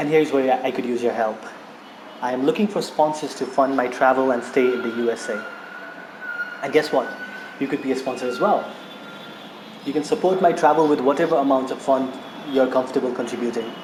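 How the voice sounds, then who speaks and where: Speaking at a fairly quick pace with long, frequent pauses, a man of medium pitch comes through over noticeable background noise. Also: ordinary pitch variation. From Nepal. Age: 20s. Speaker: spoken word poet and teacher. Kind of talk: casual talk to camera, fundraising appeal.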